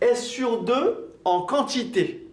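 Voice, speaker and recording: Audible room echo surrounds a man whose extremely high pitch moves in very wide swings. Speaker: accounting and management teacher. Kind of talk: lecture.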